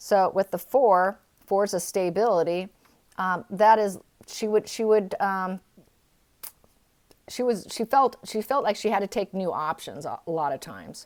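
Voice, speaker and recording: The speaker has a Californian accent, a moderate pace and ordinary pitch variation, with long, frequent pauses. The recording is very clean, with a silent background. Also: woman, medium pitch for a woman. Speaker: tarot reader. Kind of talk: tarot reading. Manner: halting, with many fillers.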